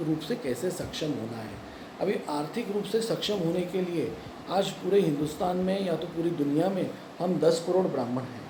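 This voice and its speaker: A man speaks with a high pitch and ordinary pitch variation at a moderate pace. Audible room echo and noticeable background noise are present. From Pune, Maharashtra, India. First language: Marathi (speaking Hindi). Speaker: YouTube commentator. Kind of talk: opinion monologue to camera. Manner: halting, many fillers and restarts.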